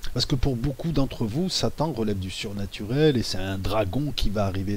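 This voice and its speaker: The voice is soft-spoken. Its pace is moderate. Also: man. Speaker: YouTuber discussing conspiracy theories. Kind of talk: monologue video commentary. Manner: halting.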